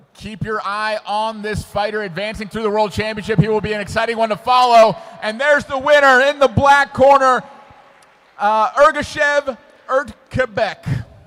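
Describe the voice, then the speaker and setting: Over noticeable background noise, a man with an American accent and a high pitch talks at a moderate pace in an animated tone with ordinary pitch variation. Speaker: sports commentator. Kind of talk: live commentary.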